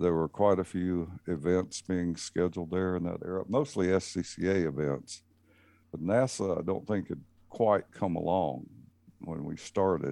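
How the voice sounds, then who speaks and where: A man's very deep, low voice with a dark, mellow tone and a Southern US accent, at a moderate pace with ordinary pitch variation, over a quiet background. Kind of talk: casual chat.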